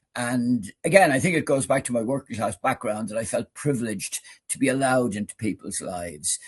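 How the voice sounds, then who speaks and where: A man speaks with an Irish accent, somewhat breathy, with big swings in loudness. The sound is dry and close with no echo, over a quiet background. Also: medium pitch for a man. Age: 70s. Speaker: retired doctor. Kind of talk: interview. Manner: halting, repeats words.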